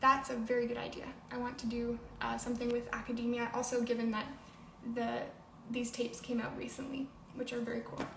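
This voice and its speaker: A woman with a Canadian accent, high-pitched and monotone with flat intonation, at a moderate pace amid audible room echo. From Canada, Toronto. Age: 20s. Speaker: bullet journal artist and student. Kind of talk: live stream craft workshop.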